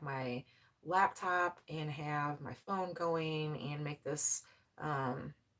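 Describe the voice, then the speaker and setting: Her pitch is very deep and low for a woman, with ordinary pitch variation. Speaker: farm vlogger, mother. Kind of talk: casual live-stream chat. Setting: home laundry room pantry, live stream. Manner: loud.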